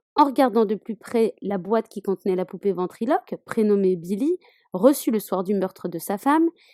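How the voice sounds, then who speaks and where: Medium in pitch, this woman's voice has a dark, mellow tone and lively intonation. She keeps a moderate pace in a dry, close sound with no echo. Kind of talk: horror film summary narration.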